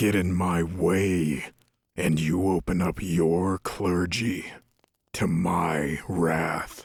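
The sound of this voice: Putting on a character voice, a man speaks very slowly at a low pitch, with vocal fry and fairly even intonation.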